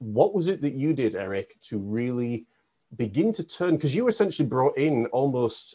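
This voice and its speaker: A man with a dark, mellow tone speaks at a medium pitch, his voice swinging very widely in pitch. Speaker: podcast host and life coach. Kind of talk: interview.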